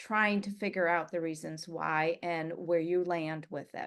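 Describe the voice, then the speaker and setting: A woman with an unremarkable speaking voice and a fairly low pitch talks at a moderate pace against a quiet background. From US. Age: 60s. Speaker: writer and adoptee. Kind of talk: interview.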